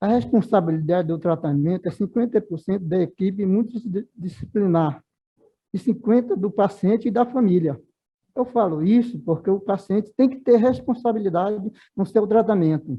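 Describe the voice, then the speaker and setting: This man speaks at a high pitch and a moderate pace. His pitch varies in an ordinary way. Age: 70s. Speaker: orthopedic shoemaker, former leprosy patient. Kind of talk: seminar talk. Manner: halting.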